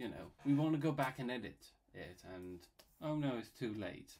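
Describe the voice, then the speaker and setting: In a Bristolian accent, a man talks at a moderate pace with very wide pitch swings. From England, Bristol. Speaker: YouTuber and illustrator. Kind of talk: casual commentary while drawing. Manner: rambling, filler-heavy casual; halting.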